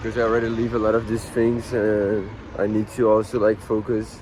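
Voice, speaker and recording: A man with a mid-range pitch talks while noticeable noise fills the background. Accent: Portuguese. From Brazil, Rio de Janeiro. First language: Portuguese. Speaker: musician and vlogger. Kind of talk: casual vlog monologue. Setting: laundromat. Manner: halting, many fillers.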